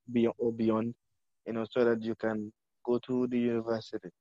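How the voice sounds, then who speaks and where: A man speaks at a moderate pace with a medium pitch and monotone, flat intonation, the sound dry and close with no echo. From Gambia. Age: 20s. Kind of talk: interview. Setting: remote call.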